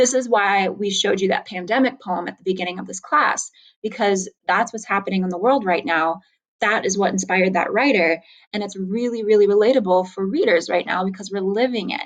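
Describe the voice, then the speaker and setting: Fairly quick speech from a woman at medium pitch, with ordinary pitch variation. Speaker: high school English teacher. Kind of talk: recorded lecture. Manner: fast.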